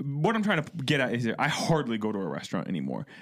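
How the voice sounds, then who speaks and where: A man with an American accent speaks at a moderate pace. His pitch swings very widely. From Ohio. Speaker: podcast co-host. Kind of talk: casual chat.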